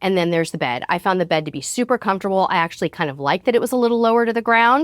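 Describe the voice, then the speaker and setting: The recording is very clean, with a silent background. A woman with an ordinary speaking voice talks with lively intonation. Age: 50s. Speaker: cruise vlogger. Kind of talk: casual talk to camera. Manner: upbeat.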